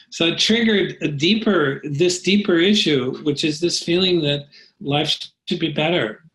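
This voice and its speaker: The man speaks fairly slowly in a high voice whose pitch varies in an ordinary way. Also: long, frequent pauses, very even loudness. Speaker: coach. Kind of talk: coaching session. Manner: calm, conversational.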